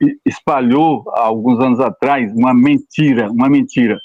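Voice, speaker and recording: A man is speaking here. His voice sits fairly high in pitch. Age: 80s+. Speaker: retired pastor. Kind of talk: interview testimony. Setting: live stream.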